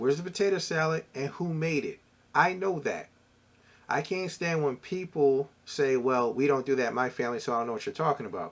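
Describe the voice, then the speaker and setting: A man talks at a fairly quick pace in a Philadelphia accent. His pitch variation is ordinary. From US Northeast, Philadelphia. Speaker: entrepreneur and former corporate professional. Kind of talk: casual vlog talk.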